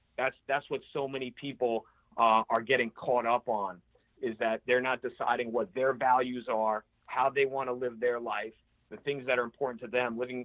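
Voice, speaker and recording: Using monotone, flat intonation, a man with an American accent and medium pitch speaks at a moderate pace. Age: 30s. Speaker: entrepreneur and CEO. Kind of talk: podcast interview answer.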